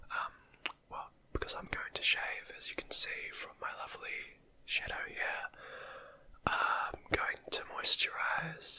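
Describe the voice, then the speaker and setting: Someone whispers at a very slow pace, with long, frequent pauses. The loudness swings widely, and background noise is noticeable. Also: man. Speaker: ASMR creator. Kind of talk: ASMR whispering. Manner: whispering; soft-spoken.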